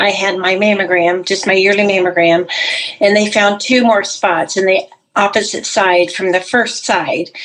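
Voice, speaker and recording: Over noticeable background noise, the voice holds a very even loudness and fairly even intonation at a moderate pace. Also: woman, medium pitch for a woman. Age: 60s. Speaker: cancer survivor, retired pastor. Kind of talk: testimony.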